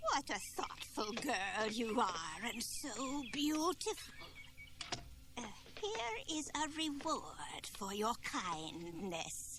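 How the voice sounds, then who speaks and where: Against clear background noise, someone puts on a character voice with a fairly high pitch at a very slow pace. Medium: audio drama. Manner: sly, hesitant old-woman act.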